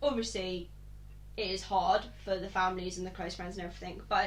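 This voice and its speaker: Amid noticeable background noise and audible room echo, a woman talks at a fairly quick clip. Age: 20s. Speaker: podcast host. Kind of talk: casual chat.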